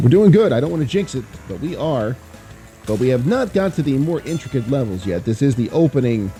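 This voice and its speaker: A man's medium-pitched voice at a fairly quick pace, swinging very widely in pitch, with music in the background. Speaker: former voice actor, gamer. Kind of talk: casual let's play commentary.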